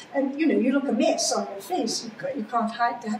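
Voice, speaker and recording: A woman with a high-pitched voice talks against clearly audible background noise. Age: 80s+. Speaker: cancer survivor. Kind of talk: interview answer.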